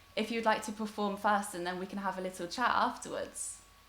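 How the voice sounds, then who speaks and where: Over noticeable background noise, a woman talks fairly quickly with fairly even intonation. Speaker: online festival host. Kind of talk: casual chat.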